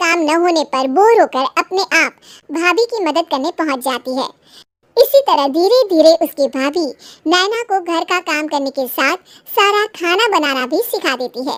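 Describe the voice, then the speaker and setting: Here is a cartoonish character voice from a woman, squeaky and extremely high in pitch. She talks at a moderate pace in a dry, close sound with no echo. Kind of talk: bedtime story narration. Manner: steady, explanatory.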